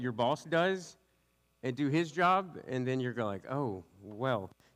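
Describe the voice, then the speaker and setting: Intonation runs lively in this voice with a Southern US accent. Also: man. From US South (West Louisiana). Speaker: youth pastor. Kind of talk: sermon. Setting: church with congregation. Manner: fast; casual, tangential.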